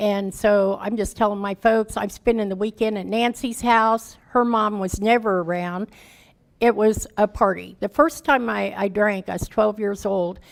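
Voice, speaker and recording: With a Midwestern American accent, a woman speaks at a medium pitch and a moderate pace, her intonation fairly even. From Kansas City, Kansas. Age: 60s. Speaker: recovery speaker and housing charity founder. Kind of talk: testimony. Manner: casual, conversational.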